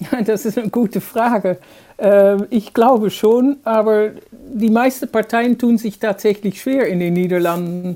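Speaking at a fairly slow pace with a Dutch accent, a woman uses a fairly high pitch, ordinary pitch variation, and a dark, mellow tone. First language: Dutch (speaking German). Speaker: journalist. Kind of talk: interview. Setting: video call. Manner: hesitant, many fillers.

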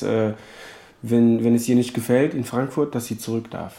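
A man's medium-pitched voice with a non-native accent, monotone and flat, at a moderate pace. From Africa. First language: not German (speaking German). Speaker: refugee. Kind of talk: interview monologue.

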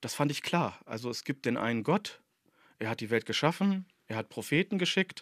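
A man talks at a very fast pace with lively intonation, in a very clean recording with a silent background. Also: dry, close sound with no echo. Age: 40s. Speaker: doctoral student in Islamic theology. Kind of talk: interview.

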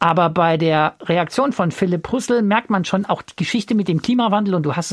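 The recording is very clean, with a silent background and a dry, close sound with no echo, as a man with a high pitch and ordinary pitch variation talks at a fairly quick pace. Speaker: radio podcast host. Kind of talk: casual discussion of listener feedback.

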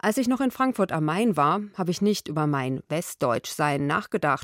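A woman speaks at a moderate pace with very wide pitch swings, recorded very cleanly against a silent background with a dry, close sound and no echo. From Hesse, western Germany. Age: 30s. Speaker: radio journalist. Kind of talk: scripted narration.

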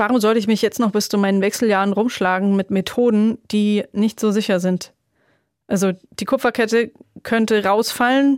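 A woman with an unremarkable speaking voice talks at a moderate pace and fairly high pitch. Her loudness is very even and her intonation fairly even, in a dry, close sound with no echo. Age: 30s. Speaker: childfree woman, sterilized, runs an advocacy group. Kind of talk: interview, personal story.

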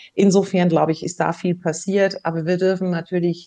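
A woman speaks at a moderate pace with a fairly low pitch and a dark, mellow tone. The background is quiet. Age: 50s. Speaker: former HR executive and author. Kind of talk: interview. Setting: remote interview, not in the host's studio.

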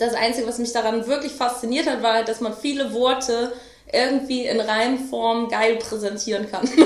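Amid noticeable background noise and audible room echo, a woman speaks at a moderate pace with a fairly high pitch and monotone, flat intonation. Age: 20s. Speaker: rapper. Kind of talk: casual interview. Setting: home studio.

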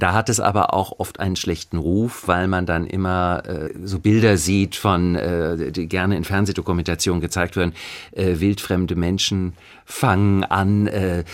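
A man talks in a very deep, low pitch with ordinary pitch variation. The recording is very clean, with a silent background. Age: 50s. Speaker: actor and chanson singer. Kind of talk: interview.

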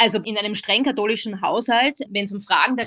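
A woman's normal speaking voice, fairly high in pitch, at a fairly quick pace. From Austria. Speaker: philosopher and lecturer. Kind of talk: interview.

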